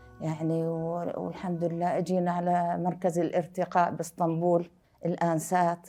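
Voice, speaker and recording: A woman's fairly low, dark, mellow voice at a fairly slow pace. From Syria. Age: 60s. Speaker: Quran memorizer, refugee. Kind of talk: personal testimony.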